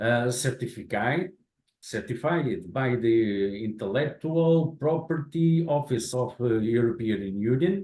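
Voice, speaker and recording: With a Portuguese accent, a man speaks at a very slow pace and medium pitch with lively intonation. His voice is somewhat breathy and very even in loudness. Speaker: infrastructure manager. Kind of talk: lecture.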